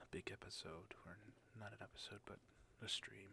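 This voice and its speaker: At a moderate pace, the voice stays in a whisper. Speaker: streamer. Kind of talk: ASMR gaming stream narration. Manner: soft-spoken.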